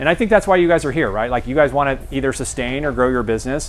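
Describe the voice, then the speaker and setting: A man with an ordinary speaking voice, fairly high pitch and ordinary pitch variation. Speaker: guest speaker at a realtor seminar. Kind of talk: seminar talk.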